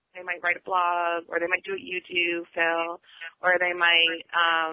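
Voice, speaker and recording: A woman's fairly low voice stays in a monotone, flat intonation. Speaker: artist and curator. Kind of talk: casual chat.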